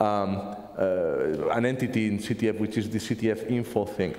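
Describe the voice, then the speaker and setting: A man is talking. Room echo is audible. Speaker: conference speaker, software developer; conference speaker. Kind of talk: technical conference talk. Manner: fast; halting, repeats words. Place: classroom.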